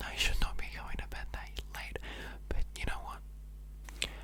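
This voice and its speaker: With an Australian accent, a woman talks at a very deep, low pitch and a fairly slow pace. Noticeable background noise runs behind her. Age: young. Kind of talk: ASMR casual rambling chat. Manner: whispered.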